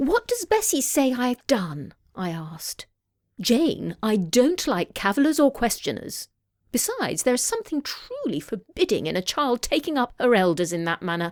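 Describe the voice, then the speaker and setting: With an RP accent, the speaker moves through very wide pitch swings at a moderate pace, in a dry, close sound with no echo. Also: woman, high pitch for a woman. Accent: RP British English. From England. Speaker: audiobook narrator. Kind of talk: audiobook narration.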